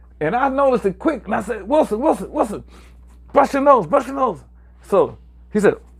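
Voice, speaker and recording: The speech runs at a fairly quick pace in an American accent, with lively intonation and long, frequent pauses. The recording is very clean with a silent background. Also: man, extremely high pitch for a man. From New York. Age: 60s. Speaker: former singer and YouTuber. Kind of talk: livestream storytelling. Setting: livestream. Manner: casual, repetitive.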